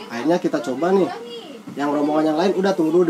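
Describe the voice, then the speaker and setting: A man's high-pitched voice comes through noticeable background noise. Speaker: guest. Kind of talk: casual interview storytelling. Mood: animated ghost story. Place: home room. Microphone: camera far.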